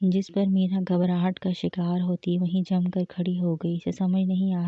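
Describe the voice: Reading aloud, plain and simple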